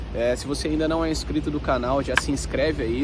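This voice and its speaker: Noticeable background noise is audible. Over it, a man speaks at a moderate pace. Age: 20s. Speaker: personal trainer and vlogger. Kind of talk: casual vlog talk to camera. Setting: outdoors in the shade.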